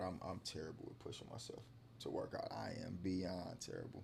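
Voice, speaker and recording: Fairly low, somewhat breathy speech from a man at a moderate pace. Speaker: podcast guest. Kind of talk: casual chat. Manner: halting.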